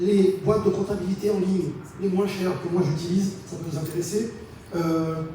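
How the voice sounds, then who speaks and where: A man's high voice at a moderate pace, fairly even in intonation, with audible room echo and noticeable background noise. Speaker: entrepreneur giving a talk. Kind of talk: conference presentation. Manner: hesitant, repeats words.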